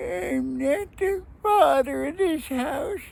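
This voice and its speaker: Someone performs a put-on character voice at a high pitch. The pace is very slow. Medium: read story.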